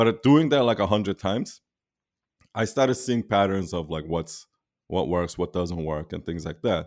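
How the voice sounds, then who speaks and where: A man with a plain, everyday voice speaks at a moderate pace, his pitch fairly low. His intonation is lively, and the recording is very clean with a silent background. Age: 40s. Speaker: founder of a branding and web design agency. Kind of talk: interview.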